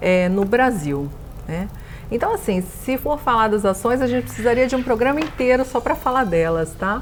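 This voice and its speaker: With noticeable background noise behind her, a woman speaks at a moderate pace with ordinary pitch variation. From São Paulo coast, Brazil (Santos). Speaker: bank executive. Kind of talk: interview.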